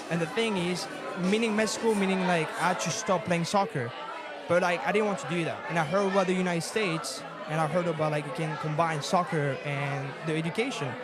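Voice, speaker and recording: A high-pitched man with a French accent at a fairly quick pace, ordinary pitch variation, audible room echo and crowd noise in the background. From France. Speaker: assistant soccer coach. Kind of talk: casual chat. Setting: live event in a bar with audience.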